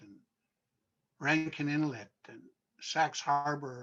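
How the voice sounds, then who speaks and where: A man is speaking. His pace is very slow. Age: 70s. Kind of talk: panel discussion.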